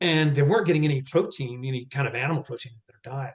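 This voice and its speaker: The man's pitch sits fairly high and varies in an ordinary way. There is a somewhat breathy quality to his speech. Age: 60s. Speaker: former music industry executive, nonprofit mission worker. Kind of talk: casual chat. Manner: halting.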